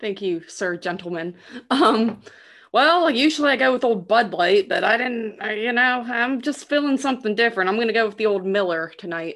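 Against a quiet background, a woman with a normal speaking voice and a fairly high pitch speaks with lively intonation. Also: moderate pace. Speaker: actress, podcast guest. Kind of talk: casual chat.

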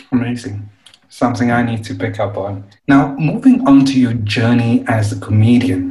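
A man speaks with a plain, everyday voice at a medium pitch. His pace is moderate and his intonation fairly even. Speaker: podcast host. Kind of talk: interview chat.

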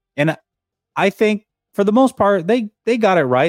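A man speaks with music in the background, the sound dry and close with no echo. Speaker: sports podcast co-host. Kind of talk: casual sports talk show. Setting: video call livestream.

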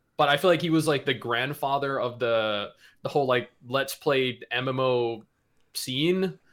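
The man has an unremarkable speaking voice with a fairly high pitch and ordinary pitch variation. He talks at a moderate pace in a very clean recording with a silent background. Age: 30s. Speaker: gaming YouTuber. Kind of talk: casual chat.

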